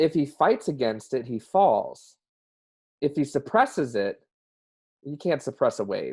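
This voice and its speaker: An American-accented man at a moderate pace against a quiet background. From US South. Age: 30s. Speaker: mental health advocate. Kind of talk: interview.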